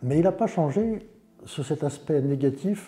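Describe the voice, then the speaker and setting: A man talks at a fairly slow pace with very wide pitch swings. His tone is dark and mellow, and somewhat breathy. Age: 60s. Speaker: patient. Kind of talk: testimony. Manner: halting.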